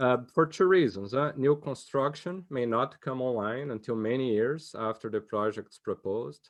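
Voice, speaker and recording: A man talks at a moderate pace with hardly any pauses, in an unremarkable speaking voice of medium pitch and ordinary pitch variation. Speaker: economics discussant. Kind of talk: academic conference discussion.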